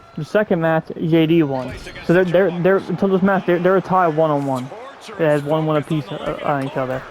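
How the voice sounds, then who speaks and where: With fairly even intonation and a high pitch, a man delivers his words at a fairly quick pace while noticeable background noise runs underneath. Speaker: wrestling recap podcaster. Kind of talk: casual recap chat. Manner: fast; halting, many repetitions.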